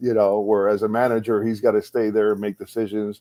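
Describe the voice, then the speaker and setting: A man's fairly low, dark, mellow voice at a fairly quick pace, in a monotone, flat intonation. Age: 60s. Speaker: baseball coach and former manager. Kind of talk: casual interview. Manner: halting, many repeated words.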